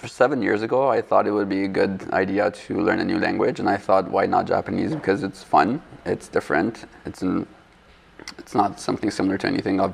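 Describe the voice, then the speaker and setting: Over noticeable background noise, the talking moves along at a fairly quick pace. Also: man. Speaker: architecture student. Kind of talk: casual interview. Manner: halting.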